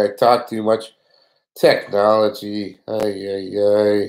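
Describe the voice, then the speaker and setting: A man speaks with a fairly low pitch. The recording is very clean with a silent background. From Canada. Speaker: fishing YouTuber. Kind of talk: live stream giveaway chat. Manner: casual, chatty.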